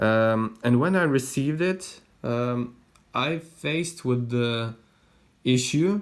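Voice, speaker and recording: The speech moves at a very slow pace on a very clean recording with a silent background. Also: man. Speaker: watch hobbyist vlogger. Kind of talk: casual explanatory vlog. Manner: slow, hesitant with fillers.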